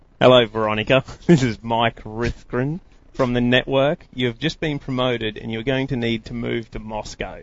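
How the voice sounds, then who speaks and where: Here a man speaks at a medium pitch in an Australian accent. His pace is moderate and his intonation fairly even. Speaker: kayak angler. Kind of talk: casual chat. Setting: studio.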